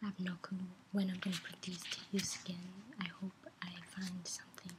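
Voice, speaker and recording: Over loud background noise, a soft-spoken woman talks at a fairly quick pace and a medium pitch with monotone, flat intonation. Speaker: ASMR creator. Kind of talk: ASMR soft speaking. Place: home room. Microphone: webcam.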